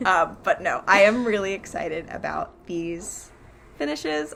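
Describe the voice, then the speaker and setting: Very wide pitch swings from a woman speaking. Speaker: crafting video host. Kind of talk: casual chat. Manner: fast; hesitant, many fillers.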